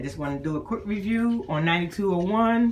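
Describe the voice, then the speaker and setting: Lively intonation from a woman, with music in the background. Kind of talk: casual cabin tour review to camera.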